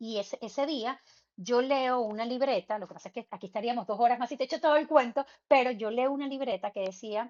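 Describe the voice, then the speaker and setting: A woman with a Venezuelan accent and a high pitch speaks at a fairly quick pace, with ordinary pitch variation. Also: big swings in loudness. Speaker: medium and spiritual guide. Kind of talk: interview conversation. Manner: fast; halting.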